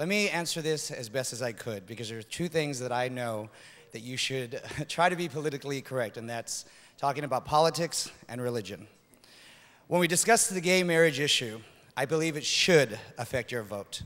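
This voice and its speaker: A man with an American accent, fairly quick and with lively intonation. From United States. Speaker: pageant contestant. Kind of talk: pageant answer speech. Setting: stage with audience. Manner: impassioned. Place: stage. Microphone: podium.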